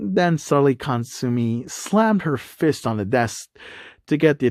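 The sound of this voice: The intonation moves in a lively way. It comes through an unforced reading voice.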